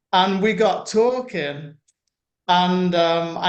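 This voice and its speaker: A man's high-pitched voice in a British accent, with ordinary pitch variation and a quiet background. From UK. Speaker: internet marketer. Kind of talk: interview. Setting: video call.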